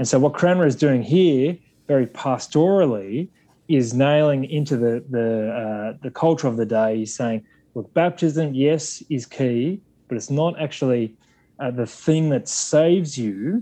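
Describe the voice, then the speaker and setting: A man speaks fairly slowly with a strong Australian accent. His voice is dark and mellow at a medium pitch, with ordinary pitch variation. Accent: broad Australian. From Australia, Sydney. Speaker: Anglican clergyman or theologian. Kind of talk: academic discussion. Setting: remote call.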